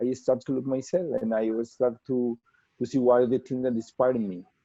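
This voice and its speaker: In a Spanish accent, a man talks with fairly even intonation. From Colombia. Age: 30s. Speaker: portrait artist. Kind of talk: webinar interview. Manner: halting, many repetitions and fillers.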